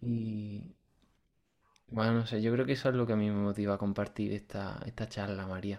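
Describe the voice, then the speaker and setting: A man speaks at a moderate pace in a fairly low voice with fairly even intonation. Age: 20s. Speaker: podcast host, student of a spiritual course. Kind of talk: interview conversation. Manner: halting, with many repetitions.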